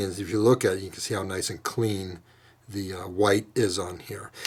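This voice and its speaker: A man speaks at a moderate pace with a fairly low pitch. His voice is somewhat breathy, with fairly even intonation. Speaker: model railroad hobbyist. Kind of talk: tutorial. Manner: halting, many fillers.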